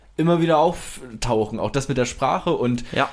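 At a moderate pace, a man with a fairly high pitch speaks with ordinary pitch variation. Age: 20s. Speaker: podcast co-host asking questions. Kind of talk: casual chat; podcast intro and housekeeping. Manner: hesitant, many fillers.

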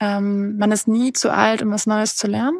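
The sound is dry and close, with no echo. A woman speaks at medium pitch in a flat monotone. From northern Germany. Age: 20s. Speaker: adventurer, polar expedition skier. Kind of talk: interview.

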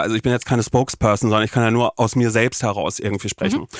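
Very clean and silent in the background, the recording captures a man at medium pitch with a dry, close sound and no echo. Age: 30s. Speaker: podcaster. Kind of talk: casual chat. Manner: animated.

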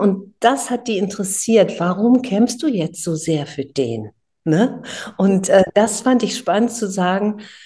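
A woman's somewhat breathy, dark, mellow voice at a medium pitch, fairly slow, with ordinary pitch variation over a quiet background. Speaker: singer. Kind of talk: interview. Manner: animated.

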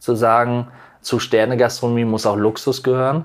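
A man talks at a moderate pace with an unremarkable speaking voice. The recording is very clean, with a silent background. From North Rhine-Westphalia near the Dutch border. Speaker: chef. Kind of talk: interview.

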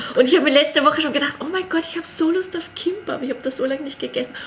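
A woman speaks over noticeable background noise. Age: 30s. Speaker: Korean language teacher. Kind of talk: casual chat.

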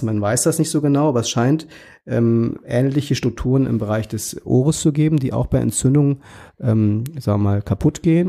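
In a very clean recording with a silent background, a man speaks at a moderate pace with a dark, mellow tone, medium pitch and ordinary pitch variation. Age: 40s. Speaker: pediatrician. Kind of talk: interview.

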